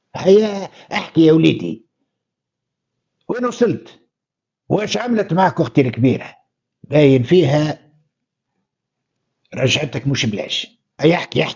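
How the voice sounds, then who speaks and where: A man uses a put-on character voice. He speaks fairly slowly, with long, frequent pauses. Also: fairly high pitch for a man. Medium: read story. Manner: gruff.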